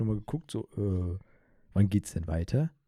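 A dark, mellow, somewhat breathy tone with lively intonation at a moderate pace. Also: man. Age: 20s. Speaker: podcast host. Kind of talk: casual chat. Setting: video call.

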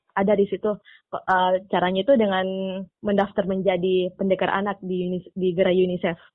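Her intonation monotone and flat, a woman speaks at medium pitch and a moderate pace. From Makassar, Indonesia. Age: young. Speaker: student comic artist. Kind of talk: interview.

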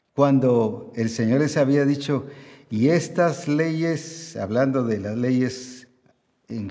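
Audible room echo surrounds a man speaking at a very slow pace in a dark, mellow tone, his pitch fairly high with ordinary variation. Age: 70s. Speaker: pastor. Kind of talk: sermon.

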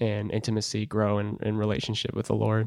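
Against a quiet background, a man with a fairly low pitch talks at a fairly quick pace, the sound dry and close with no echo. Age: 20s. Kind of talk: interview about faith, personal testimony.

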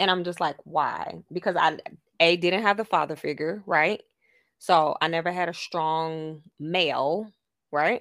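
A woman's ordinary speaking voice, fairly low-pitched and fairly slow, with fairly even intonation, in a very clean recording with a silent background. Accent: American. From Miami, Florida. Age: 30s. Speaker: podcast co-host. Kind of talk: casual chat.

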